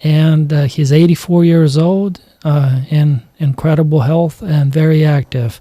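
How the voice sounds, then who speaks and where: An ordinary speaking voice from a man, fairly high in pitch, at a fairly slow pace with very even loudness and fairly even intonation. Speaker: podcast host. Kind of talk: podcast interview.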